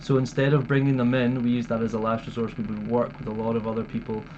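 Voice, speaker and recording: Noticeable background noise behind a medium-pitched male voice. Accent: Scottish. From Scotland, Dumfries. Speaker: wildlife conservationist. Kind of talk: interview.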